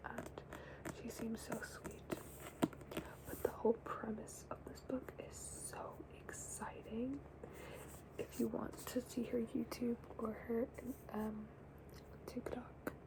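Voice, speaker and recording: Whispered words come very slowly, broken by long, frequent pauses, with noticeable noise in the background. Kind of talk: ASMR book chat to camera. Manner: excited, chatty.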